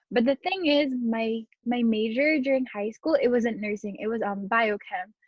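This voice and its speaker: At a moderate pace, a woman with an American accent talks at a fairly high pitch with ordinary pitch variation. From Southern California. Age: 19. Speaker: community college student. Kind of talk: interview. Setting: video call.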